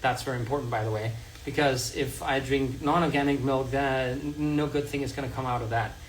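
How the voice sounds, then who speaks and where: Over noticeable background noise and audible room echo, a man with a slight Danish accent and a fairly high pitch speaks at a fairly quick pace with fairly even intonation. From Denmark. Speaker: health content creator. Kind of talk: livestream tutorial. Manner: casual, halting.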